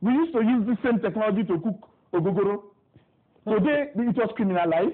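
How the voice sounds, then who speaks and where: A very fast, animated delivery with lively intonation and very even loudness. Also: man, high pitch for a man. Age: young. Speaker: youth council president, politician. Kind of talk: TV interview. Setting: TV studio.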